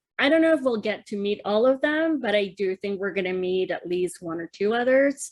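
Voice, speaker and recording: A woman speaks at a fairly quick pace with hardly any pauses. Her medium-pitched voice has lively intonation. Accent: Spanish. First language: Spanish. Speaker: podcast co-host. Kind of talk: casual chat.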